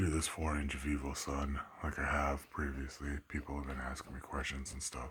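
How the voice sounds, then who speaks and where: A quiet man with a very deep, low voice and monotone, flat intonation, over noticeable background noise. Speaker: home grower vlogger. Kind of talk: casual tutorial vlog. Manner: speaking under breath, quiet.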